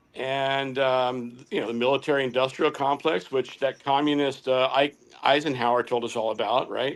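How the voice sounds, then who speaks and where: This man talks at a moderate pace. He hardly pauses at all. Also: medium pitch for a man, fairly even intonation. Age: 60s. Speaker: political candidate. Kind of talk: casual political discussion. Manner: halting, many fillers.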